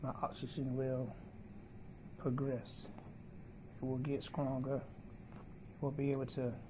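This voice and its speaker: A man speaks at a very slow pace with a dark, mellow tone that is somewhat breathy, in monotone, flat intonation and at very even loudness. Noticeable background noise is audible. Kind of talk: casual vlog chat. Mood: grateful, hopeful. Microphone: phone near.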